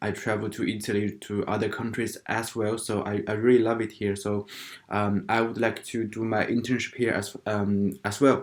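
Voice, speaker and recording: Delivery is monotone and flat in intonation, at a moderate pace. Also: man, fairly low pitch for a man. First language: not English. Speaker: international student vlogger. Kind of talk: casual vlog talk. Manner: halting, many fillers.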